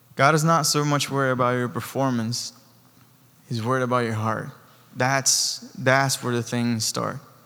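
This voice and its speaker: This man has a non-native accent. He talks in a medium pitch. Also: moderate pace. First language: not English. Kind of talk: sermon. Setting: church. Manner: animated.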